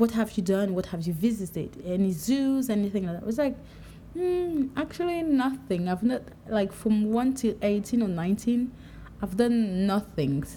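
A woman speaks in a dark, mellow tone that is somewhat breathy. Her pitch swings very widely. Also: fairly high pitch for a woman, moderate pace. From Cameroon, Douala. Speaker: podcaster. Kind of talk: solo monologue. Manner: casual, conversational.

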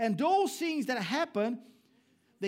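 A man with a Brazilian accent uses very wide pitch swings on a very clean recording with a silent background. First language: Portuguese. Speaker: pastor. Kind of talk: sermon. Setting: church.

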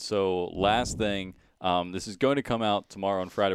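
A man's fairly low, plain, everyday voice at a fairly quick pace with ordinary pitch variation, on a very clean recording with a silent background. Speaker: college sports radio host. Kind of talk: casual chat and interview. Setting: studio.

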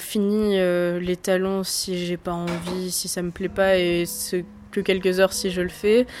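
A woman at medium pitch, very slow and monotone with flat intonation, amid noticeable background noise. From France, Lower Normandy (near Falaise). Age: 20s. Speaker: political science student. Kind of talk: interview.

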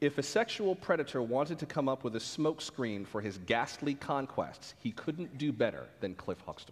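A fairly high-pitched man with vocal fry, very wide pitch swings and a moderate pace. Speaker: radio host and moderator. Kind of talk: onstage interview. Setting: stage with audience.

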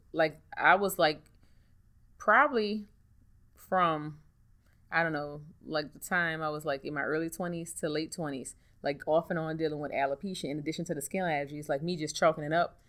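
In a New Orleans accent, a woman with a very deep, low voice speaks at a fairly quick pace with fairly even intonation and long, frequent pauses, on a very clean recording with a silent background. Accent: New Orleans Southern US. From US South, New Orleans. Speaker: hairstylist and hair care entrepreneur. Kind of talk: interview.

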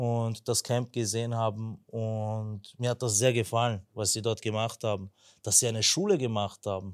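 Over a silent background in a very clean recording, the speech moves at a moderate pace with a monotone, flat intonation. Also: man. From Vienna, Austria (Turkish family). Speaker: church member, earthquake relief volunteer. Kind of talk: testimony.

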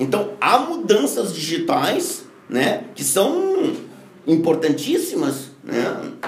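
A man speaks very slowly in a high voice with very wide pitch swings. Audible room echo and noticeable background noise fill the recording. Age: 50s. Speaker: business consultant and speaker. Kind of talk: interview.

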